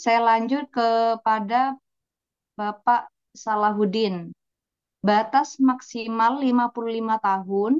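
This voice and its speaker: A woman with a Javanese accent speaks very slowly at a fairly high pitch with fairly even intonation and long, frequent pauses, the sound dry and close with no echo. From East Java. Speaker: moderator, affiliate marketer. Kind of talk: webinar moderating. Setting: video call webinar.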